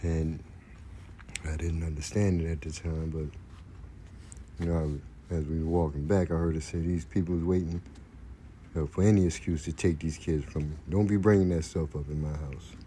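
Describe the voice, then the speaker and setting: A man's very deep, low voice, dark and mellow in tone and somewhat breathy, at a moderate pace with fairly even intonation. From Brooklyn, New York. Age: 60s. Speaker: storyteller, former prisoner. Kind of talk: personal storytelling. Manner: hesitant, many fillers.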